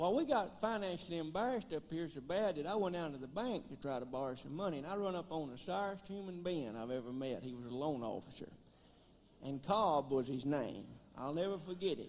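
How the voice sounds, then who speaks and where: In a strong Tennessee accent, a man speaks at a fairly quick pace with a fairly high pitch and lively intonation. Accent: thick rural Tennessee. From US South, West Tennessee (Gleason). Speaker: banjoist and comedian. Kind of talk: stand-up.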